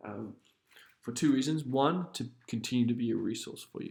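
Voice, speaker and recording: A man's voice with vocal fry and an American accent. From England. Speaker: realtor. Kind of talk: seminar presentation. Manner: off the cuff, unscripted.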